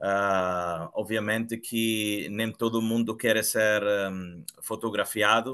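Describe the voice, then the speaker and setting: Against a quiet background, a man of medium pitch speaks very slowly with fairly even intonation. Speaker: photographer. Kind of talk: online group discussion. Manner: halting.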